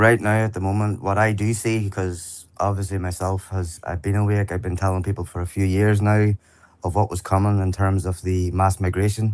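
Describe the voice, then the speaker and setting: Speaking at a moderate pace with an Irish accent, a man uses a fairly low pitch and monotone, flat intonation over a quiet background. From Ireland. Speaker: online activist. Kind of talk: interview.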